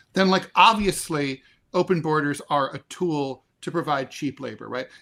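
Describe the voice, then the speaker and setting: A man with a US Northeast accent and a fairly high pitch, his bright, sharp tone carrying ordinary pitch variation, on a very clean recording with a silent background. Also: moderate pace. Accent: Yankee (US Northeast). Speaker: political commentator and show co-host. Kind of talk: casual political discussion. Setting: live stream.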